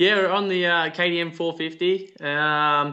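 Speaking with an Australian accent, a man keeps his intonation fairly even. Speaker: off-road racer. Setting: video call.

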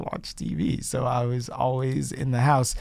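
A man with an American accent speaks at a moderate pace in a plain, everyday voice, his pitch sitting in the medium range. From Chicago. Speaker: TV correspondent and host. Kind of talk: interview.

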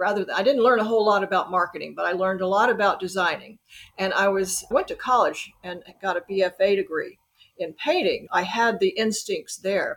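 Her medium-pitched voice moves at a fairly quick pace, and this woman uses ordinary pitch variation. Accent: Southern US. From US South, Birmingham, Alabama. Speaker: author. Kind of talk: interview.

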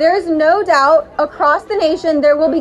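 Over crowd noise in the background, a woman with an American accent speaks at an extremely high pitch, using ordinary pitch variation at a moderate pace. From South Carolina. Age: 20s. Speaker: nonprofit advocate. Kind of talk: rally speech.

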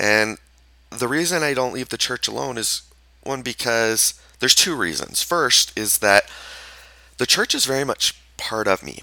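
A man with a Utah accent at medium pitch and moderate pace, with long, frequent pauses, on a very clean recording with a silent background. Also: lively intonation. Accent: Utah American English. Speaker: podcast host and therapist. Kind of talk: solo podcast monologue. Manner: halting, with many fillers.

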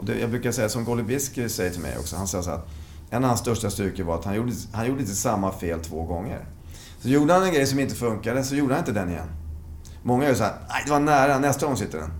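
A man's medium-pitched voice at a very fast pace, with very wide pitch swings and audible room echo. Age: 50s. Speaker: veteran fencer. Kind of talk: interview.

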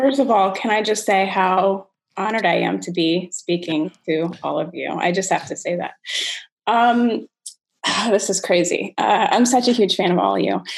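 A woman's voice with vocal fry, ordinary pitch variation and a moderate pace. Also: medium pitch for a woman. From Rockville, Maryland. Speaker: comedian. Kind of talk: casual chat.

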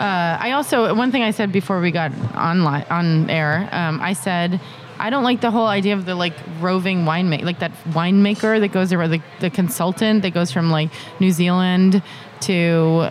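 With an American accent, a woman talks at a fairly low pitch over noticeable background noise. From Massachusetts, US. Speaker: wine entrepreneur. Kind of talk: casual interview.

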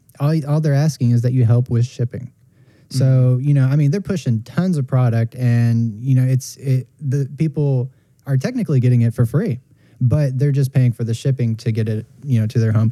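Somewhat breathy, a man of medium pitch speaks in a dark, mellow tone at a moderate pace with fairly even intonation. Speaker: podcast co-host. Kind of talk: casual podcast chat.

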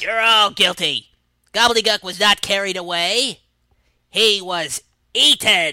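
A put-on character voice at middle pitch and a fairly slow pace. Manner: theatrical, then guilty.

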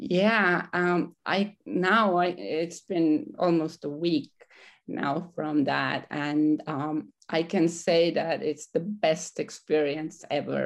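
A woman with a non-native accent speaks at a very slow pace in a fairly low voice with ordinary pitch variation against a quiet background. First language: not English. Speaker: coaching program graduate. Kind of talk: personal testimony. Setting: studio. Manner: halting, many fillers.

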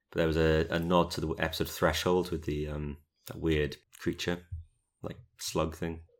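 With a slight British accent, a man speaks at a moderate pace in a very deep, low, monotone, flat voice, taking long, frequent pauses on a very clean recording with a silent background. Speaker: podcast co-host. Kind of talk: casual chat podcast discussion. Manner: chatty, joking.

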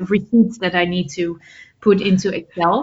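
This voice carries a Dutch accent and is somewhat breathy. Its intonation stays fairly even. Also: woman. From Netherlands. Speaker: public speaker and author. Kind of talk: interview.

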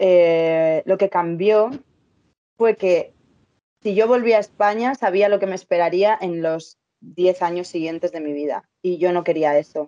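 In a Madrid accent, a woman speaks at a fairly slow pace with a medium pitch and ordinary pitch variation. Her tone is dark and mellow, and the sound is dry and close with no echo. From Spain, Madrid. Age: 30s. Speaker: travel content creator and entrepreneur. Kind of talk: interview, casual chat.

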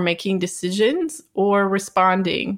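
A woman's medium-pitched voice with ordinary pitch variation, in a very clean recording with a silent background. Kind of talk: interview. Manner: calm.

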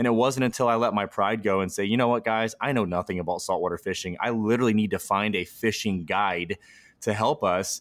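Very cleanly recorded against a silent background, a man with a Midwestern American accent speaks in a fairly low pitch with ordinary pitch variation. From US Midwest. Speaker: podcast host. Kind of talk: interview.

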